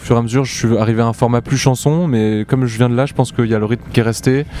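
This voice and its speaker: A man speaks at a medium pitch with fairly even intonation. There is noticeable background noise. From southern France, Montpellier. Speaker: electro-pop musician. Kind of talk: interview. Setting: outdoor music festival.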